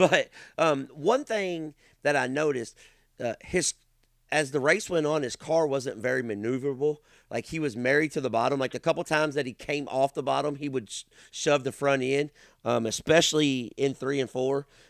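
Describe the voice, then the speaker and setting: A man with a Kentucky accent talks at a moderate pace in a fairly high voice. The sound is dry and close with no echo, on a very clean recording with a silent background. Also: ordinary pitch variation. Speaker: race announcer and podcast host. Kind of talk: casual chat. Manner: loud.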